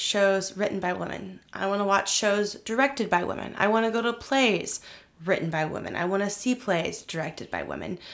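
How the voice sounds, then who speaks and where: A woman with an American accent speaks in a plain, everyday voice at medium pitch. Her pace is moderate and her pitch variation ordinary. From Oklahoma, Missouri and Kansas (US Midwest/Plains). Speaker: attorney and playwright. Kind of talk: interview conversation.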